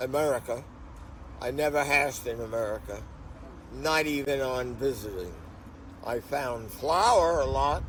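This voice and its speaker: A man at a medium pitch, fairly slow pace and ordinary pitch variation, with long, frequent pauses and audible room echo. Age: 80s+. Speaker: veteran hash runner interviewed. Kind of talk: casual interview chat. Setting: on location in Portugal, sunny.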